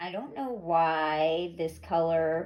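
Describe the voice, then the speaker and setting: A woman speaks at a very slow pace. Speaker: fluid art painter, craft youtuber. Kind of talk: tutorial. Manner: casual, thinking aloud.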